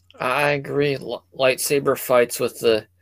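With an American accent, a man speaks at a fairly slow pace in a dry, close sound with no echo. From US, South Jersey. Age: 30s. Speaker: comedian. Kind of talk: casual chat. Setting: video call.

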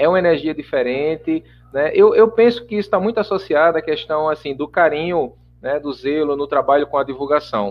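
Talking at a fairly quick pace, a man uses a normal speaking voice with a fairly high pitch and lively intonation. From Brazil, Paraíba (João Pessoa). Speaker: spiritist radio program producer. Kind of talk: casual interview chat.

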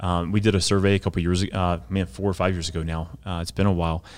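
A man's very deep, low voice at a very fast pace with fairly even intonation. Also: very clean recording, silent background. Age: 40s. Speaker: missions program director. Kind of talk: casual interview.

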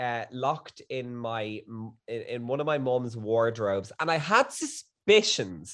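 An Irish accent marks this man's very slow speech, his medium pitch carrying lively intonation over a quiet background. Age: 30s. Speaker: guest. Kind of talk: casual chat. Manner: animated.

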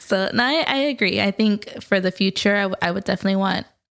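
There is an unremarkable speaking voice with an American accent, moving at a fairly quick pace on a very clean recording with a silent background. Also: woman. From US, Mexican American. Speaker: podcast co-host. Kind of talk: casual chat.

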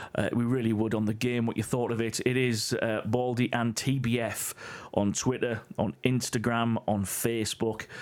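A man speaks with an English accent. His intonation is monotone and flat, and his loudness is very even. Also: medium pitch for a man, moderate pace. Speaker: podcast co-host. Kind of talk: casual chat. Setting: in a room together.

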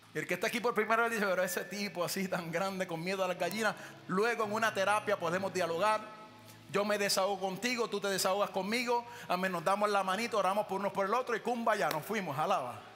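A man talks at a very fast pace in a raised, projected, high-pitched voice with an animated tone. Noticeable background noise is present. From Puerto Rico. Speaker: pastor. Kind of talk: sermon.

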